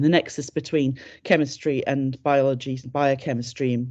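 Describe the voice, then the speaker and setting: A woman's dark, mellow tone in a British accent, over a quiet background. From UK. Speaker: chemistry lecturer and academic advisor. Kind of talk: informational webinar presentation. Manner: hesitant, many fillers.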